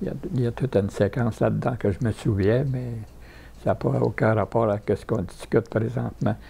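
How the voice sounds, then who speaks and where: This man's voice is dark and mellow, fairly low in pitch, with vocal fry. He talks at a fairly quick pace. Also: ordinary pitch variation. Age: 90s. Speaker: war veteran. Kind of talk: interview. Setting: retirement home. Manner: halting.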